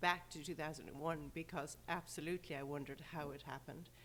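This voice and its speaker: A woman's very fast speech, with a slight Irish accent and fairly even intonation. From Ireland, rural. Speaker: sports event organizer. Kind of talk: interview. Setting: podcast.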